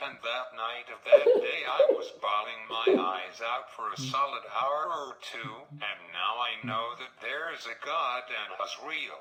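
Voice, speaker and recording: A man's fairly slow delivery comes through noticeable background noise. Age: 20s. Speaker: vlogger. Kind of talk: casual monologue.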